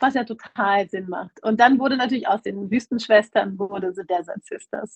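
A woman speaks at a fairly slow pace in a somewhat breathy voice at a fairly high pitch, her loudness swinging widely in a dry, close sound with no echo. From Germany. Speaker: festival organizer. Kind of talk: interview.

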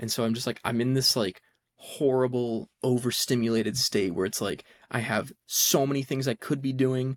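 A man talks at a moderate pace and medium pitch in a normal speaking voice. The sound is dry and close, with no echo. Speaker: podcast co-host, college student. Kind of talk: casual chat.

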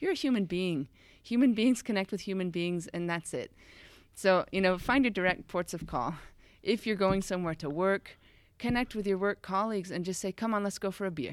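A woman with an American accent, an ordinary speaking voice, a fairly quick pace, and a very clean recording with a silent background. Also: medium pitch for a woman, ordinary pitch variation. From United States. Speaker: founder of an expat integration company. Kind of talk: podcast interview.

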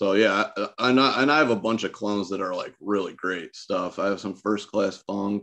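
A man with an American accent, fairly low pitch and a bright, sharp tone. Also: ordinary pitch variation, moderate pace. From Michigan, partly Ohio. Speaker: cannabis grower. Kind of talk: casual chat.

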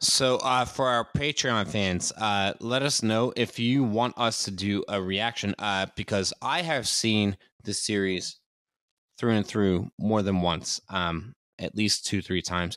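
Over a very clean recording with a silent background, a man speaks slowly-ish in a normal speaking voice, fairly low in pitch with ordinary pitch variation. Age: 30s. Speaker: podcast co-host. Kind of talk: casual chat.

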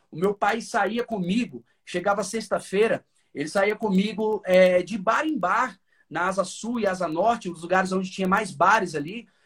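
Pitched high, the man's voice shows ordinary variation in its rise and fall. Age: 30s. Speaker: gospel singer and songwriter. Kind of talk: casual chat. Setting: home studio, remote call.

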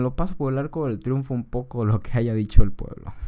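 A dark, mellow tone at a moderate pace, in a Mexican accent. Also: man. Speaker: podcaster. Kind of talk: casual political commentary. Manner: informal, slangy.

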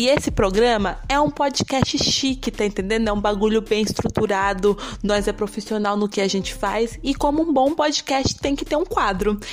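A woman with a fairly high pitch and lively intonation, hardly any pauses, and noticeable background noise. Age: 20s. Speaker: podcast host. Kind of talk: casual monologue. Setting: home room. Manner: fast.

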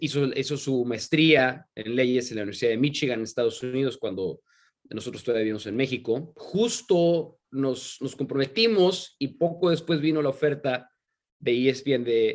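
A man with a normal speaking voice at a medium pitch, ordinary pitch variation, and a moderate pace. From Mexico, San Luis Potosí. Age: 30s. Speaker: sports commentator. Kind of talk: interview conversation.

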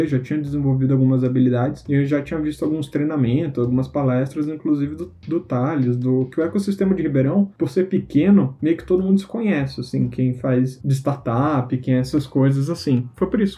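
Somewhat breathy, a man speaks at a fairly quick pace with a medium pitch. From Manaus, Brazil. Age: 20s. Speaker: entrepreneur. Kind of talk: casual chat.

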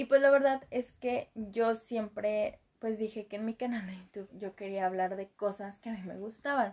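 A woman's fairly high pitch in a Mexican accent, with fairly even intonation, hardly any pauses, a moderate pace and big swings in loudness. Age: 20s. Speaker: podcaster and university student. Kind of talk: casual monologue. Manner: casual, rambling with fillers.

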